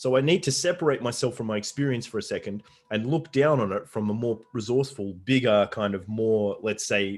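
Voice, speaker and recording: A man with an unremarkable speaking voice talks at a fairly quick pace in a medium pitch with ordinary pitch variation over a quiet background. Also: hardly any pauses. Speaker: life coach. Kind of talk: podcast interview.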